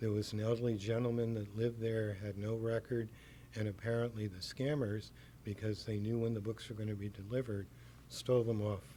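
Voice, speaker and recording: Soft-spoken and somewhat breathy, a man talks in a dark, mellow tone at a fairly low pitch, his intonation monotone and flat. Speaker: bookstore owner. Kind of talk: interview answer.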